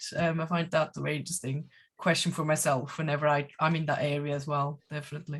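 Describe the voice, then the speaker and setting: A woman's very fast, somewhat breathy speech with a very deep, low pitch and monotone, flat intonation. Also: quiet background. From Switzerland. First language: Swiss German. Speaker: German language teacher. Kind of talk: online panel discussion. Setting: video call.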